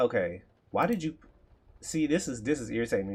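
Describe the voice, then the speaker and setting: A man with an American accent and a medium pitch. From Texas. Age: 30s. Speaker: coding streamer, aspiring web developer. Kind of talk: live coding stream, casual chat. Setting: livestream. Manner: casual, conversational.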